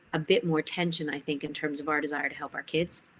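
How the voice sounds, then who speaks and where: A woman with a Canadian accent uses an ordinary speaking voice, speaking at a fairly quick pace with a fairly low pitch and ordinary pitch variation. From Canada. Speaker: education academic. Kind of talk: webinar talk.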